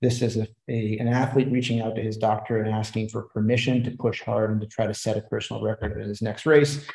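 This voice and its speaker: A man speaks in a dark, mellow, somewhat breathy tone with monotone, flat intonation. The background is quiet, but room echo is audible. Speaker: presenter. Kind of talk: lecture. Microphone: webcam.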